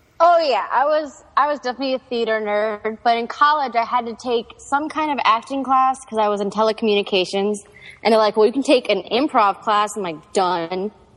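Using an ordinary speaking voice, a woman talks at a fairly quick pace with fairly high pitch and ordinary pitch variation. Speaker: improv performer. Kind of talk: casual chat.

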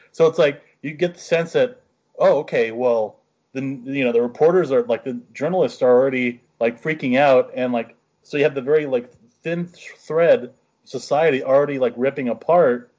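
An unremarkable speaking voice: a man with an American accent, fairly high pitch, ordinary pitch variation and a moderate pace. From rural western Pennsylvania. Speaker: podcast co-host. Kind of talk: casual chat.

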